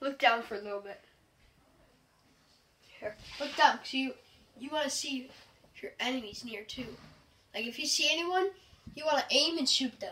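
Speaking at a moderate pace, a woman uses a raised, projected voice with big swings in loudness and long, frequent pauses. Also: ordinary pitch variation. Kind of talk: casual instruction. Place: home room. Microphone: phone near.

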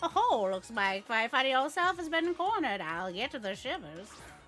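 Someone puts on a character voice at a moderate pace, with very wide pitch swings. Clear background noise sits behind it. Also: woman, high pitch for a woman. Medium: virtual streamer. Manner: playful, bubbly, folksy.

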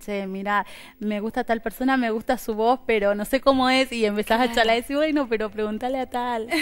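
A woman speaks in a plain, everyday voice at a moderate pace with fairly even intonation. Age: 30s. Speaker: interview guest. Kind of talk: interview. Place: studio. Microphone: headset.

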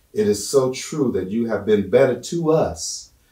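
A man's lively intonation at a fairly slow pace, with audible room echo and a quiet background. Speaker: guest Bible study teacher. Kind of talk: prayer. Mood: fervent, earnest. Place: church.

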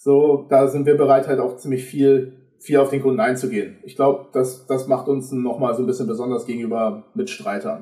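Against a quiet background with audible room echo, a man talks with a dark, mellow tone, somewhat breathy and with hardly any pauses. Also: ordinary pitch variation, moderate pace. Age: 20s. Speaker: videographer; podcast guest. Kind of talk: casual chat. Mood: relaxed, humorous. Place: home room.

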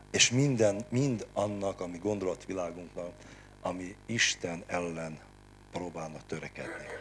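A man talks at a fairly slow pace with a very deep, low pitch. Faint music plays in the background. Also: ordinary pitch variation. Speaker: preacher and service leader; preacher. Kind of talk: sermon and prayer at a Bible hour. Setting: church. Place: hall. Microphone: handheld.

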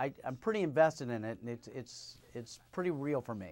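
A man speaks with pitch that leaps very far up and down. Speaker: TV host. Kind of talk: interview. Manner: laughs easily. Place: studio. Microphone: lapel.

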